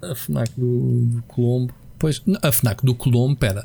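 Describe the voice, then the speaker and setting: Against music in the background, a man speaks with ordinary pitch variation. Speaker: video game podcast co-host. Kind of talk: casual chat.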